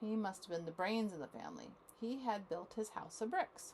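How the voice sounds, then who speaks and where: A normal speaking voice from a woman, fairly high in pitch, with lively intonation. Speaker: grandmother reading to grandchildren. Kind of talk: read-aloud children's story. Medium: read story.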